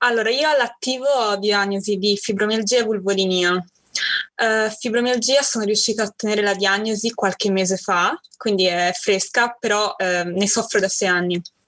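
In a normal speaking voice, a woman talks at a moderate pace and medium pitch with very even loudness. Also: ordinary pitch variation. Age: 20s. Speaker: university student sharing chronic illness story. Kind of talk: interview testimony.

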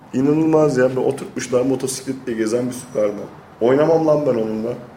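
Amid noticeable background noise and audible room echo, a man at medium pitch speaks at a fairly quick pace with ordinary pitch variation. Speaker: podcast co-host. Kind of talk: casual chat.

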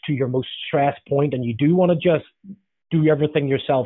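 Speaking with a Northern Irish accent, a man uses a fairly high pitch with ordinary pitch variation. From Northern Ireland. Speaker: leadership author and consultant. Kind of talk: interview.

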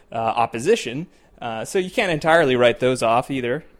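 Using a normal speaking voice, a man with an American accent talks at a fairly quick pace and a medium pitch. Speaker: podcast host. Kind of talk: interview podcast, political commentary.

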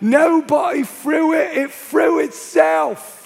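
A man shouts in a put-on character voice with a Cockney accent. He delivers it at a very slow pace. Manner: shouted.

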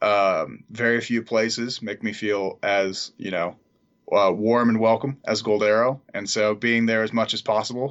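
Fairly slow speech in an American accent with monotone, flat intonation. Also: man. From Southern California. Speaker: camp counselor. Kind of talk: casual interview.

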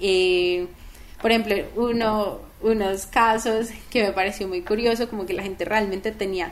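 A woman at medium pitch, a plain, everyday voice, moderate pace. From Colombia, Manizales. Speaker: startup co-founder. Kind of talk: interview.

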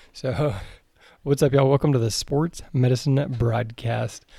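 A man talks at a moderate pace in a medium pitch with fairly even intonation. His voice is somewhat breathy, with a dark, mellow tone. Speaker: podcast host.

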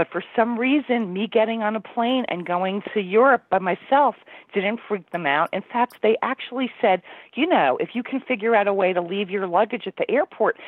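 A woman talks at a moderate pace with a medium pitch and ordinary pitch variation. Hers is a plain, everyday voice. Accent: American. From New Jersey. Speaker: travel business owner. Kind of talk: interview. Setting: video call.

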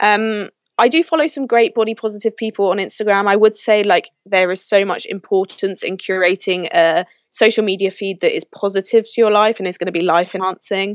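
Her voice sits at medium pitch as a woman speaks with a London accent. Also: ordinary pitch variation. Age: 20s. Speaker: mental health advocate. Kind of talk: interview. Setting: video call.

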